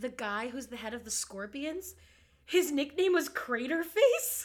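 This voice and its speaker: Raised and projected, a woman's high voice carries a bright, sharp tone and very wide pitch swings. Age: 20s. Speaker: podcast co-host. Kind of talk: casual chat. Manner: animated.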